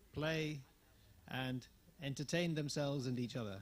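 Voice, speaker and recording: Speaking in an English accent at a moderate pace, a man has a fairly high, somewhat breathy voice with ordinary pitch variation. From England. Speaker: managing director of a tourism network, workshop speaker. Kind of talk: conference presentation. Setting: workshop with audience. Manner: halting, many fillers.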